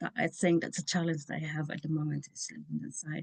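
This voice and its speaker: With a non-native accent, a woman speaks at a very deep, low pitch and a moderate pace, with fairly even intonation and a dry, close sound with no echo. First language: not English. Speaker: information science researcher. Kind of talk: interview. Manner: halting.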